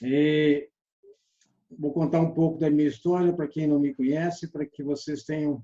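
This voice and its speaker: There's a dark, mellow tone to this man's fairly high voice. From Brazil, Belo Horizonte. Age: 60s. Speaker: sales trainer. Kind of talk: online lecture.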